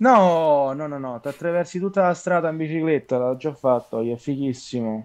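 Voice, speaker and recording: This man has a plain, everyday voice pitched fairly high, with ordinary pitch variation. He keeps a moderate pace with hardly any pauses against a quiet background. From Italy, Rome. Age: 20s. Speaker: actor. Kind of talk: casual chat. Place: home room. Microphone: video call.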